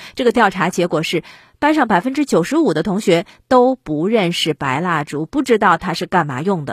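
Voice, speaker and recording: Very wide pitch swings at a moderate pace, in a dry, close sound with no echo and a very clean recording with a silent background. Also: woman. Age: 40s. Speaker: podcast commentator. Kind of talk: solo commentary monologue.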